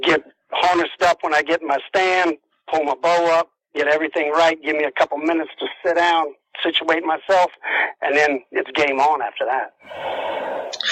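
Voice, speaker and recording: Speaking in a South Carolina accent, a man has a fairly high pitch and monotone, flat intonation at a moderate pace. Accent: Southern US (South Carolina). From US South, South Carolina low country. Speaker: deer and turkey hunter. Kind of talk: interview. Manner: casual, some stammering.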